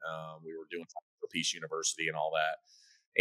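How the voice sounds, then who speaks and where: Loud speech at a moderate pace comes through a very clean recording with a silent background and a dry, close sound free of echo. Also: man. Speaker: military veteran and fast-food restaurant owner. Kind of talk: podcast interview. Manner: intense.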